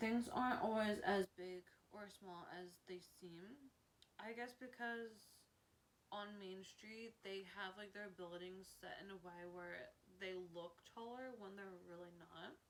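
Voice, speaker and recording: Big swings in loudness mark a woman's medium-pitched voice, which has ordinary pitch variation and a fairly slow pace. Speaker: theme park vlogger. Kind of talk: casual list video. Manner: halting, frequent self-corrections.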